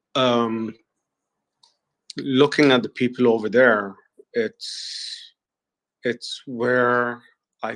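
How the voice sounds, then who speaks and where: Speaking very slowly in a flat monotone, a man with a medium-pitched voice has a non-native accent. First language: not English. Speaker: human resources professional. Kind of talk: group audio chat. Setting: online audio space.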